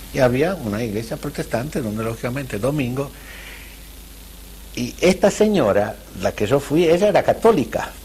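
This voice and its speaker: A man's medium-pitched voice with vocal fry, very wide pitch swings and long, frequent pauses. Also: moderate pace. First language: not Spanish, Central European language (speaking Spanish). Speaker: Holocaust survivor. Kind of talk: testimony interview. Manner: halting, with repetitions.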